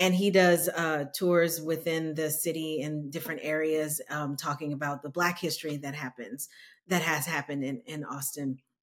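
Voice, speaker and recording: A woman's ordinary speaking voice, fairly low in pitch, with an American accent, a fairly quick pace and ordinary pitch variation, in a very clean recording with a silent background. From New Orleans, US South. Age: 40s. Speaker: nonprofit leader in diversity and entrepreneurship. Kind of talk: casual interview chat.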